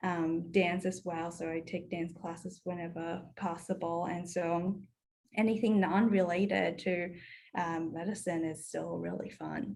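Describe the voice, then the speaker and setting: A woman with vocal fry speaks at a fairly slow pace, her fairly low pitch held in fairly even intonation. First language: not English. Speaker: medical student. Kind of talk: video call introduction. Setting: video call.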